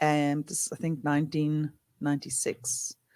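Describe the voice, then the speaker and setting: This man speaks with a South African accent. His pitch is fairly high and his pace fairly slow. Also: dry, close sound with no echo. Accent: Afrikaans South African. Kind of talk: casual chat. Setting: studio.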